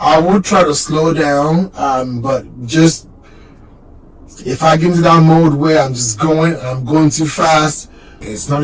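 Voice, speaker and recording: Music in the background behind a man speaking at a very slow pace. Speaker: car channel YouTuber. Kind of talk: casual vlog introduction. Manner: casual with filler words.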